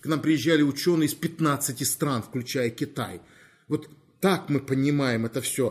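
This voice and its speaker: A somewhat breathy man with a fairly high pitch and ordinary pitch variation speaks at a fairly slow pace in a very clean recording with a silent background. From Crimea, Feodosia. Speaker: university rector and professor. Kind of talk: interview.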